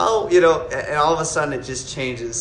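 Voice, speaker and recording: A man speaks with a strong Wisconsin accent. The room echo is audible, and background noise is noticeable. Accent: thick Wisconsin. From Wisconsin, US Midwest. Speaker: collectibles maker answering viewer questions. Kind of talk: live stream Q&A, casual chat. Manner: halting, many fillers and restarts.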